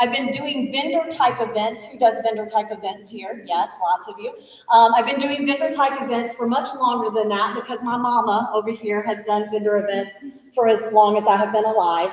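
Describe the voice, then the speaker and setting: Speaking at a moderate pace with ordinary pitch variation, the voice swings widely in loudness over noticeable background noise. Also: woman, fairly high pitch for a woman. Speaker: small business owner and event organizer. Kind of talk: business training presentation. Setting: room with live audience, livestreamed. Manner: animated.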